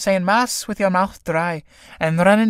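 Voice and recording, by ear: This is text being read aloud. A natural voice carries it.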